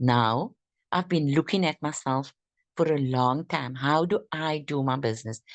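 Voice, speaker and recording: Against a quiet background, a woman talks at a fairly slow pace. Her intonation is lively. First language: not English. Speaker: network marketing distributor. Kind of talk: group training discussion. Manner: halting.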